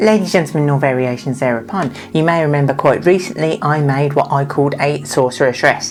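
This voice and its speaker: Over music in the background, a woman speaks in a very deep, low voice at a fairly quick pace with hardly any pauses. Her loudness stays very even and her pitch varies in an ordinary way. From Birmingham, England. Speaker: DIY leather crafter and costume maker. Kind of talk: tutorial; casual chat to camera. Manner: animated.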